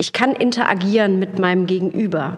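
With fairly even intonation and a moderate pace, a woman's voice comes through noticeable background noise. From Lower Rhine region, Germany. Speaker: actress and voice artist. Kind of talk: casual chat.

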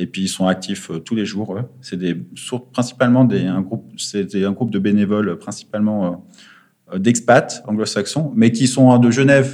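Here a man speaks with a fairly low pitch. His pitch varies in an ordinary way. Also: fairly slow pace. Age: 30s. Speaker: former finance trader turned charity worker. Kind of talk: interview. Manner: halting, many fillers.

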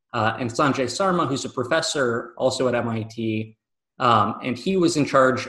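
Here is a man with an American accent and a plain, everyday voice. His pitch is medium, with ordinary variation. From Michigan, US. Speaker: professor, engineering researcher. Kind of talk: interview.

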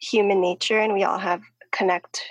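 A woman in a plain, everyday voice at medium pitch, with fairly even intonation. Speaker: podcast host. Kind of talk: casual interview.

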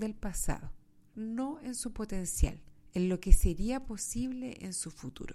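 Speaking fairly slowly at a medium pitch, a woman swings her pitch very widely in a very clean recording with a silent background. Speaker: podcast host. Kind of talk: motivational monologue.

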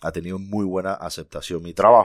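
A man with a very deep, low pitch, in a very clean recording with a silent background. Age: 40s. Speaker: small business owner. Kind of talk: casual chat.

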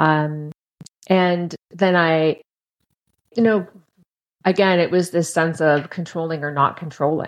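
A woman with a fairly low pitch speaks at a very slow pace, with fairly even intonation and long, frequent pauses. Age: 50s. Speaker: podcast guest, former long-term dieter. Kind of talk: casual interview.

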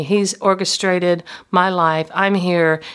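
On a very clean recording with a silent background, a woman with a medium pitch talks fairly slowly with fairly even intonation. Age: 60s. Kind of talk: devotional talk. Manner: halting.

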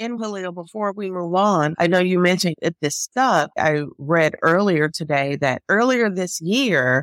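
A woman with an American accent and a normal speaking voice talks at a moderate pace with lively intonation, in a dry, close sound with no echo. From Chicago, US Midwest. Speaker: public health attorney, podcast co-host. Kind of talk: casual legal discussion.

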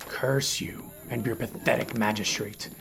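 Putting on a growling, hissing character voice at medium pitch, a man speaks at a fairly slow pace over clear background noise.

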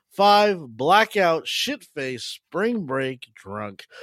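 A man speaks with very wide pitch swings. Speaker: podcast host. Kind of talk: casual chat.

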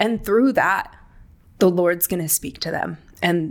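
In an American accent, a woman with an unremarkable speaking voice talks at a medium pitch and a moderate pace. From California, Palm Springs area. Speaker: executive assistant, pastor's kid. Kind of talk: casual chat.

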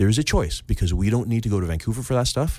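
Very fast male speech in a Canadian accent, with vocal fry and very wide pitch swings. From Canada, Victoria BC. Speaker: real estate agent. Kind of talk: casual interview.

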